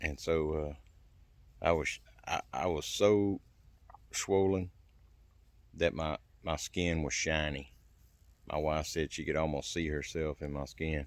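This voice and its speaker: A very clean recording with a silent background captures a man speaking fairly slowly in a very deep, low, monotone voice with flat intonation. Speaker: survival and self-help channel host. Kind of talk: casual personal testimony to camera. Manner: halting, hesitates and stammers for words.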